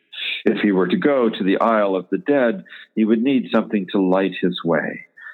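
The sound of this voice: Reading in an unforced voice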